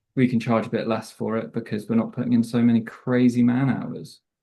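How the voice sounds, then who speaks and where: The voice has a dark, mellow tone and a British accent. Delivery is monotone and flat at a moderate pace. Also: man. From Southwest England. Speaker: coffee roaster sales manager. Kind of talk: casual interview chat.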